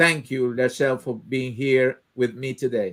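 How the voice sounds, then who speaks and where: A man speaks with a Spanish accent. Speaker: live show host. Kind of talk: online interview. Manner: halting.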